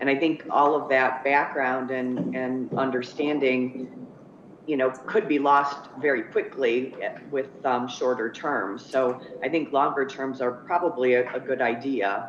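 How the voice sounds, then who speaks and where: There is noticeable background noise as a woman with a very deep, low pitch speaks at a fairly slow pace and with fairly even intonation. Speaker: ethics commission member. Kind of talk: interview. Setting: video call.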